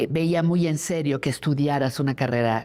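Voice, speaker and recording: The pitch varies in an ordinary way, and the recording is very clean with a silent background. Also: woman. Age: 70s. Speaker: journalist. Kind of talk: interview testimony.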